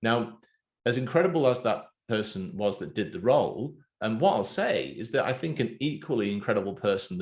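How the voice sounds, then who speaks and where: A man with an English accent talks at a moderate pace, his pitch swinging very widely. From England. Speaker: podcast host. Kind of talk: casual interview.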